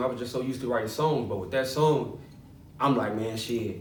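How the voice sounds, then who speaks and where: Noticeable background noise and audible room echo accompany a man speaking with ordinary pitch variation. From Chicago west side. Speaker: rapper. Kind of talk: interview. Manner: halting.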